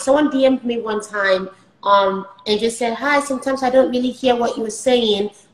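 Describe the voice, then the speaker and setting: Here a woman speaks at a fairly high pitch. Noticeable background noise is present. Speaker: software engineer and skit creator. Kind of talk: casual interview. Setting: live stream. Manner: fast.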